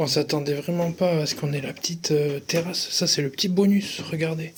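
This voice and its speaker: Soft-spoken, this man has a fairly high pitch. He keeps his intonation fairly even and his pace moderate. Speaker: travel vlogger. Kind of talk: casual vlog narration.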